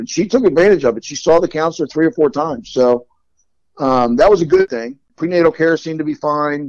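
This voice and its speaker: An unremarkable speaking voice from a man with an American accent, fairly high in pitch, lively in intonation, at a fairly quick pace. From Long Island, New York, then Delaware. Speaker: adoptee. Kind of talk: personal storytelling interview.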